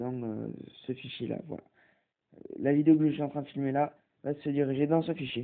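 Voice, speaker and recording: A man's fairly high-pitched voice, with fairly even intonation and a moderate pace. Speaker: tech tutorial youtuber. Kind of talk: tutorial. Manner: hesitant, many fillers.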